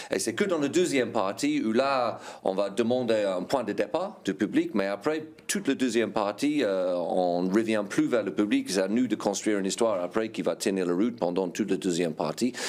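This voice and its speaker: A man with an English accent speaks at a moderate pace with ordinary pitch variation. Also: fairly low pitch for a man. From England. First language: English (speaking French). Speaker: improv actor. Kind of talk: interview. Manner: hesitant, with fillers.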